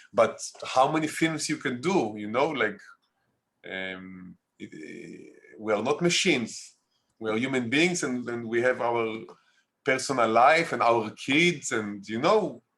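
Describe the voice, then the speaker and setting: A man speaks with an Israeli accent at medium pitch and a fairly slow pace. His intonation is lively, broken by long, frequent pauses. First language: Hebrew. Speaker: documentary filmmaker. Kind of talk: interview. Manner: halting.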